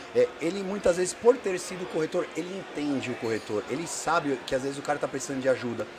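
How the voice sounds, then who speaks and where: Amid noticeable background noise, a man speaks at a fairly quick pace with lively intonation and a fairly high pitch. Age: 40s. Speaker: podcast host and insurance broker. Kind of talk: casual interview. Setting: live at a conference. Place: studio. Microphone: studio mic.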